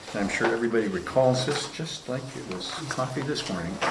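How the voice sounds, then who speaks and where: Loud background noise surrounds a man speaking. His pace is fairly quick, with ordinary pitch variation. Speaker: council meeting chair. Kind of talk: meeting chairing. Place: meeting room.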